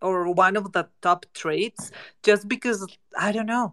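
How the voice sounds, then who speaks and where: A woman speaks at a fairly slow pace with a Spanish accent. Her medium-pitched voice has ordinary pitch variation and a dry, close sound with no echo. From Mexico. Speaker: NFT project co-founder. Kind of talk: casual panel conversation.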